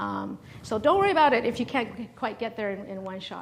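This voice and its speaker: A woman talks at a fairly quick pace. Her voice is high in pitch. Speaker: startup founder and former venture capitalist. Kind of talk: seminar talk. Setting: seminar room with audience. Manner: hesitant, many fillers.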